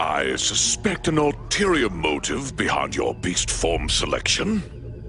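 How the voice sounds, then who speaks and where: In a cartoonish character voice, a man speaks very deep and low at a fairly slow pace with hardly any pauses, while faint music plays in the background. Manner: drawn-out, gloating.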